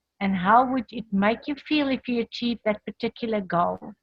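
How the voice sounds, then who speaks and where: A woman with an unremarkable speaking voice talks at a fairly high pitch with ordinary pitch variation, in a dry, close sound with no echo. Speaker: motivational speaker. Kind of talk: online training presentation.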